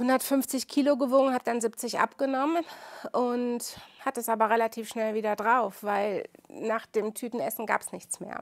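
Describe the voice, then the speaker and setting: In a normal speaking voice, a woman talks at a moderate pace with ordinary pitch variation, and the sound is dry and close with no echo. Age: 50s. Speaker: midwife. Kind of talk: interview testimony.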